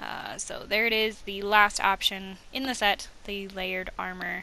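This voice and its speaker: Speaking at a very slow pace, a woman has a bright, sharp tone. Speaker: gaming video host. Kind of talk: casual gameplay commentary.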